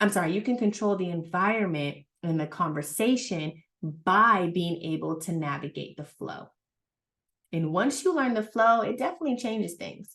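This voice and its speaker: A woman speaks at a medium pitch with lively intonation. Her tone is animated. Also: moderate pace. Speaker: relationship communication coach. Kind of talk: live webinar talk. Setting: livestream. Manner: loud.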